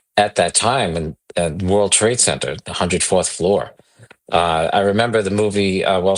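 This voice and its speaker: Here a man speaks in a New York accent. His pitch varies in an ordinary way. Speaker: investment executive. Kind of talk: podcast interview.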